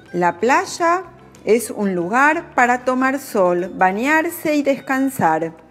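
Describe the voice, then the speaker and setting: Very slowly, a woman speaks with very wide pitch swings. Music plays in the background. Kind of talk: language-learning narration. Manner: slow, clear.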